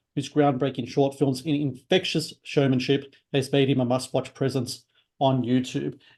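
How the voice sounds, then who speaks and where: A man speaks at a moderate pace in a fairly high pitch, with a dark, mellow tone. His intonation is monotone and flat, over a quiet background. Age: 40s. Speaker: talk show host. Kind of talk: interview. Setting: video call. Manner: halting, many fillers.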